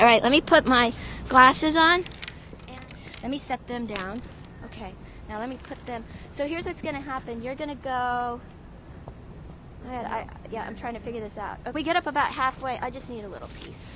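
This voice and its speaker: A woman talks fairly quickly at a high pitch with ordinary pitch variation and big swings in loudness, broken by long, frequent pauses. Noticeable background noise runs underneath. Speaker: live-streamer. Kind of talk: live-stream chat. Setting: outdoors. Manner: animated.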